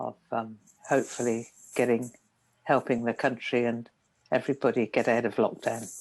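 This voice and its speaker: A woman with a very deep, low pitch speaks at a moderate pace in monotone, flat intonation, with long, frequent pauses. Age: 70s. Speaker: meditation teacher. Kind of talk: dharma talk. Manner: calm, gentle.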